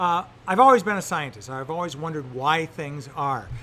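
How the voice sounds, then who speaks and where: With an American accent, a man speaks in an unremarkable speaking voice, fairly high in pitch, with lively intonation. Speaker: science teacher. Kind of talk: interview.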